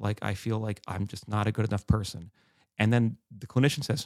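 This man has a fairly low pitch, ordinary pitch variation, and an animated tone. He talks at a moderate pace, and the sound is dry and close with no echo. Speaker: podcast co-host and journalist. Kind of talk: casual discussion.

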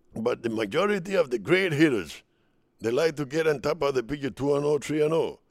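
A man with a Spanish accent, fairly high pitch, vocal fry and lively intonation at a moderate pace, on a very clean recording with a silent background. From Dominican Republic. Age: 70s. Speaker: retired baseball player. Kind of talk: interview storytelling.

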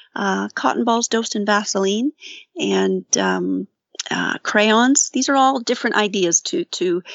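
With a Canadian accent, a woman speaks in an unremarkable speaking voice, her pitch fairly high with ordinary variation. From Ontario, Canada (St. Catharines). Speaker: outdoor safety program coordinator. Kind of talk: interview.

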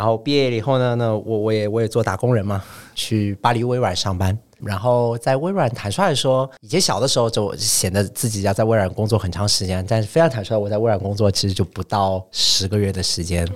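A man speaks with a plain, everyday voice at a fairly low pitch and ordinary pitch variation. He keeps a fairly quick pace with hardly any pauses. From China, Shanghai. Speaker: startup founder. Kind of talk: podcast interview.

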